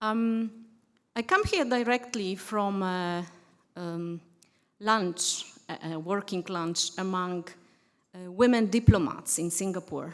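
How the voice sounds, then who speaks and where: On a very clean recording with a silent background, a woman with a Polish accent speaks very slowly at a medium pitch with ordinary pitch variation, long, frequent pauses and big swings in loudness. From Poland. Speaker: diplomat. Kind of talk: conference speech. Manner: halting.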